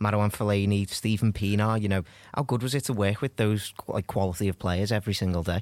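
A plain, everyday voice moves at a fairly quick pace with fairly even intonation in a very clean recording with a silent background. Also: man. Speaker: football podcast host. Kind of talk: podcast interview.

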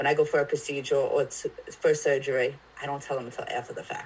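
Her intonation fairly even, a woman talks in a somewhat breathy voice. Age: 30s. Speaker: mental health advocate. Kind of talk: casual chat.

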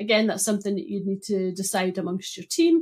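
Medium-pitched woman with a Scottish accent. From Scotland, Broughty Ferry (Dundee). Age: 40s. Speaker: data consultant. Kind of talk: casual interview.

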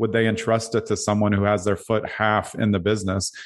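A man with an American accent speaks fairly quickly in a fairly low, flat monotone. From Brooklyn, New York. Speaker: real estate team leader. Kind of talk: interview.

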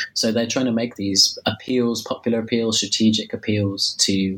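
There is noticeable background noise in this clip. A man talks at a moderate pace in a monotone, flat delivery. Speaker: historian. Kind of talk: academic interview. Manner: hesitant, many fillers.

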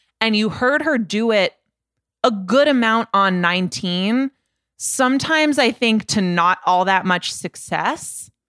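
An unremarkable speaking voice talks at a fairly slow pace with lively intonation and very even loudness. The recording is very clean, dry and close, with a silent background and no echo. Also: woman, fairly high pitch for a woman. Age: 20s. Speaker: music podcast co-host. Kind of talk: casual chat.

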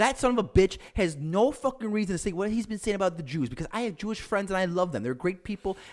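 Animated and very fast, a man with a Chicago accent speaks in a high voice with lively intonation and hardly any pauses. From Chicago area, US Midwest. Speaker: podcast co-host. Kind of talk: casual chat.

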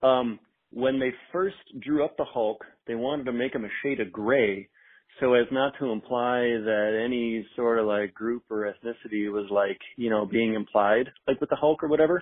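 A man with an American accent talks at a medium pitch with ordinary pitch variation. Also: moderate pace. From Chicago, South Side. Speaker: listener caller. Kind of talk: voicemail message. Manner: casual, halting with fillers.

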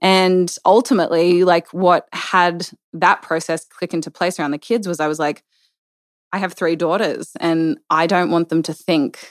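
Someone with an Australian accent speaks at a moderate pace in a very clean recording with a silent background and a dry, close sound with no echo. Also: woman. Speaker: business owner and mother. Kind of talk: casual chat.

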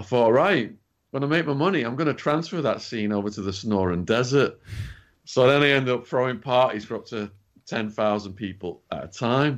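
A man with an English accent, medium pitch, lively intonation and a fairly quick pace over a quiet background. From England. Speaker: author and activist, former drug dealer. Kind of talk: interview storytelling. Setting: remote call.

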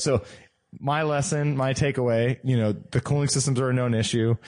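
An ordinary speaking voice moves at a moderate pace with fairly even intonation over a quiet background. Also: man. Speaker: car podcast co-host. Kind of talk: casual chat.

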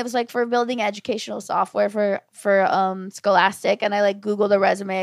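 A woman with an American accent speaks at a moderate pace. Hers is an unremarkable speaking voice at a medium pitch. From Orange County, California. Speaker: comedian. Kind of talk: casual chat.

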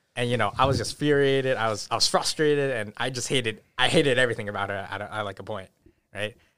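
A man with an American accent speaks at a very fast pace and medium pitch, with a bright, sharp tone and ordinary pitch variation. The recording is very clean, with a silent background. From US Northeast, Newton, Massachusetts. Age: 20s. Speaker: guest. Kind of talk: casual chat. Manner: halting.

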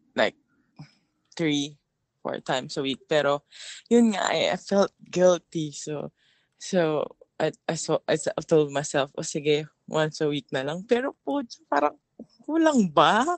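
Her pitch very deep and low with ordinary variation, a woman talks at a fairly slow pace. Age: 30s. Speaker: caller. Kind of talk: call-in conversation. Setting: phone call.

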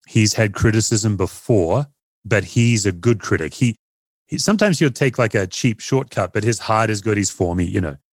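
In an Australian accent, a man at a medium pitch speaks fairly quickly with lively intonation, on a very clean recording with a silent background and a dry, close sound with no echo. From Perth, Australia. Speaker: pastor and author. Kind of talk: casual interview chat.

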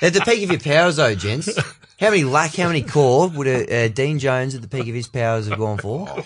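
Here a man speaks at a very fast pace. His fairly high pitch carries lively intonation. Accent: Australian. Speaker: podcast host. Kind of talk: casual chat.

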